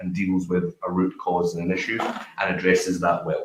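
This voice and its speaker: A man talks with a Glasgow accent. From Glasgow, Scotland. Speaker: business founder, panelist. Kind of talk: panel discussion.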